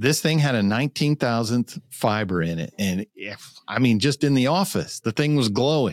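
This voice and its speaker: Recorded very clean, with a silent background and a dry, close sound with no echo, a man with an unremarkable speaking voice talks at a medium pitch and a fairly slow pace, his intonation lively. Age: 50s. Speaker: bow reviewer for an archery retailer. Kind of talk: casual chat.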